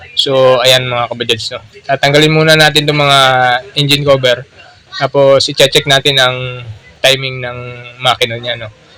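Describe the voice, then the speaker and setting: Against noticeable background noise, a man speaks at a medium pitch and moderate pace in a monotone, flat intonation, with big swings in loudness and long, frequent pauses. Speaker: motorcycle mechanic. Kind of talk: repair tutorial. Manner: casual, filler-heavy.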